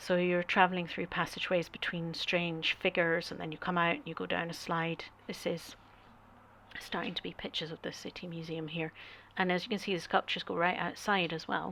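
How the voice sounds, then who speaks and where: A woman with a Scottish accent speaks at a fairly quick pace in a fairly low, bright and sharp voice with monotone, flat intonation. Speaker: artist and travel vlogger. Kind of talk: travel talk over slideshow. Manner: hesitant, many fillers.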